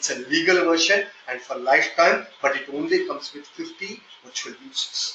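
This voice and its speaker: A man with a slight Indian accent talks over noticeable background noise. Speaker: software testing trainer. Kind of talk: live online training session. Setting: online meeting. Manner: hesitant, with fillers.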